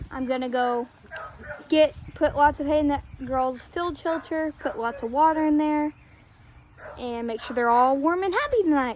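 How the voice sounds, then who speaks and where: Long, frequent pauses break up a woman's high-pitched speech, with noticeable background noise. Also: ordinary pitch variation, moderate pace. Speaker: horse owner vlogger. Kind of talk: casual vlog narration while doing chores.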